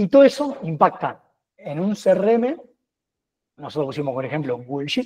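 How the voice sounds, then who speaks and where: A man with very wide pitch swings. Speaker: data and automation expert. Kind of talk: webinar tech demo. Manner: fast.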